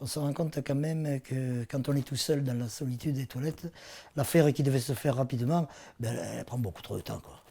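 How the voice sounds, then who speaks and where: At a fairly quick pace, a somewhat breathy man keeps his intonation fairly even. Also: medium pitch for a man, very clean recording, silent background. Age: 60s. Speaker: patient giving testimony. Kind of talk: testimony. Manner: halting, many hesitations.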